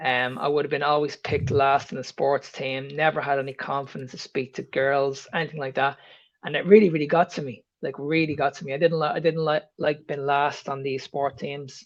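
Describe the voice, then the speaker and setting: A man with an Irish accent at a fairly high pitch, fairly quick pace and fairly even intonation, with hardly any pauses against a quiet background. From Ireland. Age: 50s. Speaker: health coach. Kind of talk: podcast interview.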